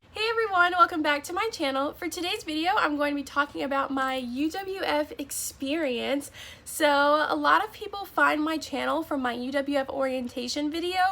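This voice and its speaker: A woman with an American accent speaks in a raised, projected voice, high-pitched with lively intonation, at a moderate pace with hardly any pauses over noticeable background noise. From Florida. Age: young. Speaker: college student. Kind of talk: casual talk to camera.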